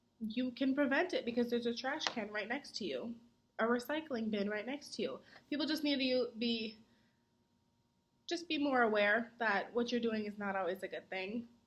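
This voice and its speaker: A woman speaks in a high pitch with ordinary pitch variation. Her pace is moderate. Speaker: college student. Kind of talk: mock interview. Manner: projects voice.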